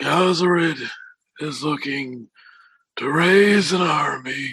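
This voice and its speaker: A man puts on a raspy character voice with a high pitch. He speaks at a very slow pace. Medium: actual play. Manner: grave, commanding.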